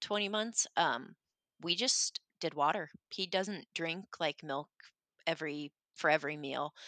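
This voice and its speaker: An unremarkable speaking voice at a moderate pace with ordinary pitch variation, against a quiet background with a dry, close sound and no echo. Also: woman. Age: 20s. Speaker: mom and former college athlete. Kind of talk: casual interview.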